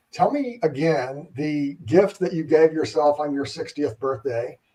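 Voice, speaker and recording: A man with a plain, everyday voice speaks in a fairly high pitch with ordinary pitch variation. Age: 50s. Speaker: podcast host. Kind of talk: casual chat.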